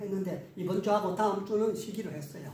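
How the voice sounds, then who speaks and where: Room echo is audible as a man speaks against noticeable background noise. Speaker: history scholar, lecturer. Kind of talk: interview conversation.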